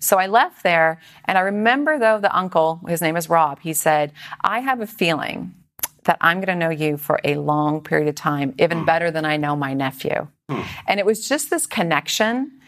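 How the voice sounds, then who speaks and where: This woman has an unremarkable speaking voice, pitched fairly low. She talks at a moderate pace with lively intonation. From Canada (British Columbia, later Toronto). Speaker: entrepreneur. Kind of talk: interview.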